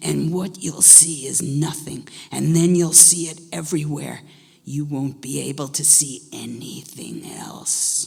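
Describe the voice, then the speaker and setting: Putting on a character voice, a woman growls at a very deep, low pitch, hoarse and raspy, at a fairly slow pace. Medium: read story. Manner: gruff, grumpy, menacing.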